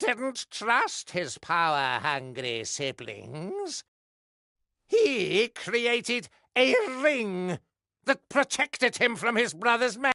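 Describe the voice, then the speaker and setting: The speaker puts on a character voice at a fairly high pitch. The pace is very slow. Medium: video game. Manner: mocking, gloating.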